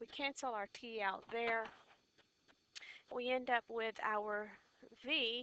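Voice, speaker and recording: Her pace is very slow. The woman's pitch is fairly high. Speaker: physics teacher. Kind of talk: tutorial. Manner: loud.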